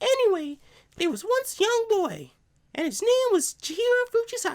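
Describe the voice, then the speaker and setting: A man's squeaky put-on character voice, extremely high in pitch, at a moderate pace. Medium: game stream. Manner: put-on, exaggerated and mocking.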